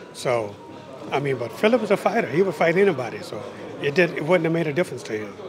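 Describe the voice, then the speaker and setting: A man talks very fast in an American accent, his high pitch swinging very widely. Noticeable background noise runs underneath. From United States. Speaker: boxing trainer. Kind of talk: interview. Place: hall. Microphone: handheld.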